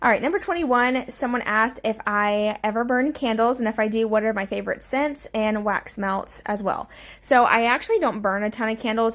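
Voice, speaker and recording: In a very clean recording with a silent background, a woman speaks at a fairly high pitch with fairly even intonation. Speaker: cleaning vlogger. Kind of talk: casual voiceover Q&A. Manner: fast.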